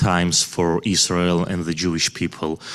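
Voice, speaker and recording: With a Georgian accent, a man talks at a moderate pace in a very deep, low pitch. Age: 30s. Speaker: visiting community leader. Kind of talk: speech. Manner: halting.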